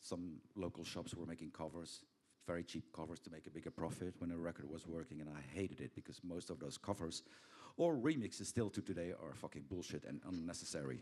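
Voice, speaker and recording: A man with a Belgian accent speaks at a very fast pace, his very deep, low pitch and dark, mellow tone marked by vocal fry and ordinary pitch variation. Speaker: record label founder. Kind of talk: panel interview. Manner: casual, halting with fillers.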